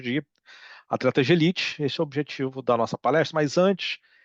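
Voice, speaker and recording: Talking at a fairly quick pace, a man with a fairly high pitch and ordinary pitch variation sounds dry and close with no echo against a quiet background. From Brazil. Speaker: psychology researcher, professor. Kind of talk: lecture. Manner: hesitant, many fillers.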